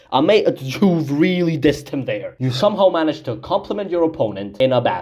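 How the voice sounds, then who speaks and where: A loud, animated man's voice, fairly high-pitched with very wide pitch swings, vocal fry and a moderate pace. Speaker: music commentary youtuber. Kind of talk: opinion commentary video. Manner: animated, loud.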